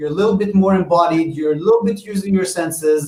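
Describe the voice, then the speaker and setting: Here a man talks at a high pitch with a non-native accent. He keeps a fairly quick pace and ordinary pitch variation. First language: not English. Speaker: VR game developer. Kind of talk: panel discussion. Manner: halting.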